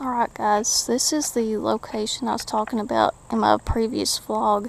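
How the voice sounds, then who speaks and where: A woman talks at a moderate pace. Behind her there is noticeable background noise. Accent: East Tennessee. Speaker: urban explorer vlogger. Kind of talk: walking vlog tour. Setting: outdoors.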